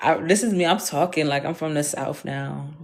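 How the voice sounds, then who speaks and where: A woman talks in an animated tone. Her pitch varies in an ordinary way. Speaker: vlogger. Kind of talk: casual monologue.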